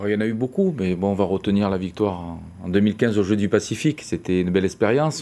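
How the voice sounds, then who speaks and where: This man has a dark, mellow tone and a fairly low pitch. He speaks at a moderate pace with ordinary pitch variation. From France. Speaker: football coach. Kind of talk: TV news interview. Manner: halting. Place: studio. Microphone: lapel.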